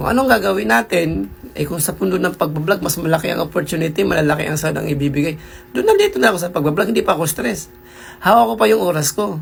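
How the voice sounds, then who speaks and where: Speech moves at a fairly quick pace with music playing in the background. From Philippines. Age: 40s. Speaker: vlogger. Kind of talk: casual vlog monologue.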